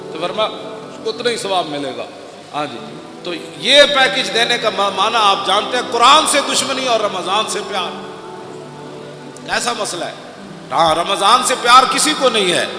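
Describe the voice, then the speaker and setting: Over music in the background, a man with a high pitch uses a raised, projected voice and lively intonation. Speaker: Islamic religious preacher. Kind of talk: religious sermon. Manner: emotional, forceful.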